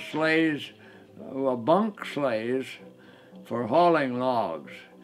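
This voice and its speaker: Over faint music in the background, a man with an American accent speaks at a very slow pace in a fairly high pitch, with ordinary pitch variation. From northern Michigan. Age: 80s+. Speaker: local history narrator. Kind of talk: documentary interview narration. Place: home room.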